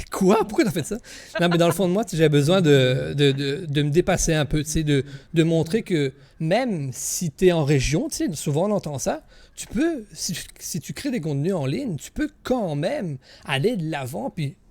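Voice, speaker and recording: The speaker has a Quebec accent and a moderate pace. The intonation is lively. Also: man, high pitch for a man, very clean recording, silent background. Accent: Québécois French. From Quebec, Gaspésie region. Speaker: content creator, streamer. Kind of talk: interview. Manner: hesitant, many fillers.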